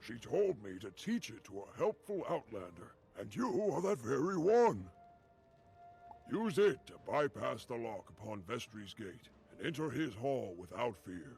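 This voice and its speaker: Over clear music in the background, a man puts on a character voice at medium pitch, moving at a moderate pace with very wide pitch swings and big swings in loudness. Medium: video game. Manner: formal, archaic phrasing.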